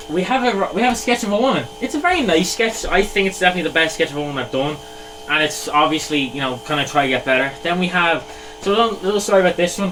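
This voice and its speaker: A man with an Irish accent speaks at a very fast pace with a high pitch and lively intonation over noticeable background noise. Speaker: artist, YouTuber. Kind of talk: casual sketchbook walkthrough. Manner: animated, self-deprecating.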